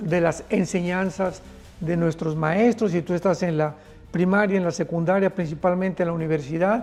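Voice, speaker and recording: Music plays behind a man speaking at a fairly slow pace. His voice sits high in pitch. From Mexico. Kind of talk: sermon / prophetic news teaching.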